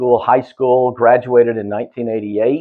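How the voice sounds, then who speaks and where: Here a man speaks with a Southeast Texas accent at a medium pitch. His pace is fairly quick and his pitch varies in an ordinary way. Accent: Southeast Texas accent, noticeable. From Southeast Texas, Houston area. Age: 50s. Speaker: quality assurance manager. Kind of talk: podcast interview. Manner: casual, many fillers and restarts.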